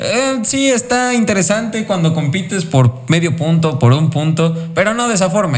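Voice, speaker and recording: The speaker talks in a Mexican accent with lively intonation and hardly any pauses. Noticeable background noise is present. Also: man. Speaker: motorsport podcast host. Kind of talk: casual chat.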